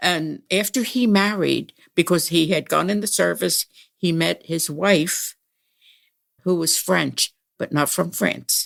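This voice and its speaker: A woman speaks very slowly at a fairly low pitch with vocal fry and ordinary pitch variation. The recording is very clean with a silent background, and the sound is dry and close with no echo. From Pennsylvania, USA. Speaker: retired musician. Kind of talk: interview answer.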